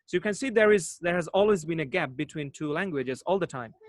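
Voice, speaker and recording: A man speaks in a Bangladeshi accent with lively intonation. The sound is dry and close, with no echo. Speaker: English teacher, online host. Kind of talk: live online discussion. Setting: video call.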